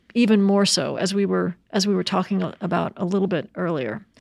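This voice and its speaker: A woman talks at a moderate pace, recorded very cleanly against a silent background. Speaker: radio journalist. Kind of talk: interview.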